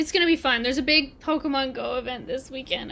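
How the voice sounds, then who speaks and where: In a raised, projected voice, a woman with a high pitch and a bright, sharp tone speaks at a fairly quick pace. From Canada. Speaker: gaming streamer. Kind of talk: casual livestream chat. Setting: livestream. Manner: animated.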